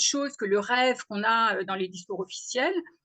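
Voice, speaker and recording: Her pitch is fairly high for a woman. She speaks at a moderate pace with ordinary pitch variation. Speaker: agronomist, webinar speaker. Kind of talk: webinar presentation. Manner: hesitant, many fillers.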